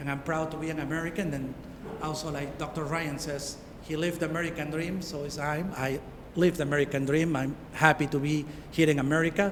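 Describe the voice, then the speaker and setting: A man with a Peruvian accent, fairly high in pitch and very fast, in a monotone, flat intonation, with noticeable background noise and audible room echo. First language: Spanish. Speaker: township supervisor. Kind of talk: public speech.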